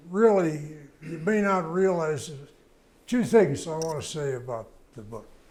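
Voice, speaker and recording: With an American accent and a fairly high pitch, a man talks at a fairly slow pace with lively intonation, long, frequent pauses and big swings in loudness, and the room echo is audible. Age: 90s. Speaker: veteran motorcycle racer and author. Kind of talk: interview before live audience. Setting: museum event before a live audience. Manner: halting, with many fillers.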